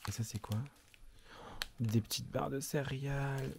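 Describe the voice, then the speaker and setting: Soft-spoken and somewhat breathy, a man talks at a fairly slow pace with ordinary pitch variation. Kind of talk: casual vlog to camera. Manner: speaking softly.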